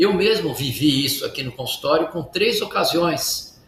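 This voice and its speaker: Over noticeable background noise and audible room echo, a man speaks at a moderate pace in a high pitch. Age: 60s. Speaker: medical doctor, cardiologist. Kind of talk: interview.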